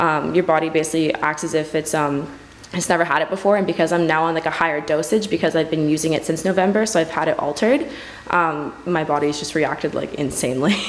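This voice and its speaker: Someone talks very fast against noticeable background noise. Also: woman. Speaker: student who sells prescription drugs. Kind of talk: interview.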